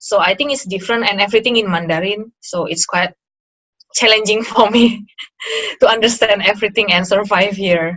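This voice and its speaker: With an Indonesian accent, a woman talks at a fairly quick pace and a medium pitch, her intonation fairly even. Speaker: interview guest, former master's student. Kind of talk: casual interview chat. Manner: halting, many fillers.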